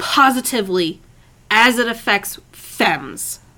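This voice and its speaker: A woman's raised, projected voice, bright and sharp in tone, at a very slow pace. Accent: American. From Michigan, suburb of Detroit. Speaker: podcast co-host, guest. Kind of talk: casual chat.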